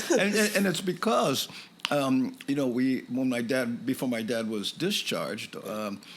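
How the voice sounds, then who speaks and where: A man at medium pitch with lively intonation and a moderate pace, over noticeable background noise. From Hawaii, Waianae (Oahu). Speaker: stand-up comedian. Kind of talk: casual interview chat.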